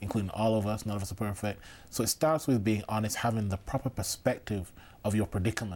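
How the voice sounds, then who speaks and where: A man with a Mancunian accent speaks at a very fast pace in a fairly low, somewhat breathy voice on a very clean recording with a silent background. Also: ordinary pitch variation. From Manchester, England. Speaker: seminary student. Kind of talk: casual chat.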